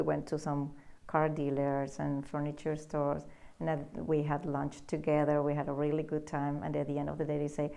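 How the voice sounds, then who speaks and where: Fast-moving at a fairly quick pace, a woman with a Spanish accent speaks in a very deep, low pitch with a dark, mellow tone and monotone, flat intonation. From Peru, Lima. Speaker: immigrant business owner. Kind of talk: interview. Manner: halting, with repetitions.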